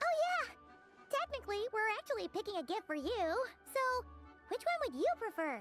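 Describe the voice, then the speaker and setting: An extremely high-pitched, cartoonish character voice moves at a moderate pace. Clear music plays in the background. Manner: brash, chatty.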